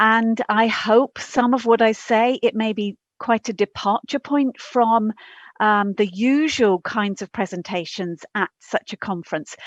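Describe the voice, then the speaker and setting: The speech moves at a fairly slow pace with ordinary pitch variation. The sound is dry and close with no echo, over a quiet background. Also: woman, fairly high pitch for a woman. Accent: English. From England. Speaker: professor. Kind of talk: conference talk. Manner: halting.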